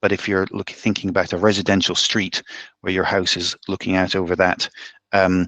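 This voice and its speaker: Against a quiet background, a man talks at a fairly quick pace with a very deep, low pitch. The sound is dry and close, with no echo. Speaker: community manager for a traffic-counting device company. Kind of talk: webinar presentation. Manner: fast.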